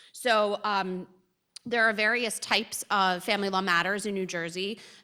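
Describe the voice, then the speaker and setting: A woman speaks loudly at medium pitch. Her tone is bright and sharp. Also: very clean recording, silent background. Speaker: family law attorney. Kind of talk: lecture.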